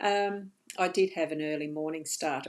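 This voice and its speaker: A woman with a very deep, low pitch talks at a moderate pace, her pitch varying in an ordinary way. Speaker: psychic medium doing card readings. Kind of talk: live-streamed card reading. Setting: live stream. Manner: slurring words.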